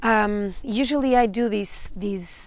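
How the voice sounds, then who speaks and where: A woman speaks in a Portuguese accent with fairly even intonation. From Portugal. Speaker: psychic and spiritual mentor. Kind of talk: channeled energy update monologue. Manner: halting, many fillers and restarts.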